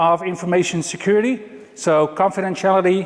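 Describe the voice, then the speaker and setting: The speaker has a Dutch accent and a moderate pace, with noticeable background noise. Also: man. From Netherlands. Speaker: IT consultant. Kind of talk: conference talk. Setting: stage with audience.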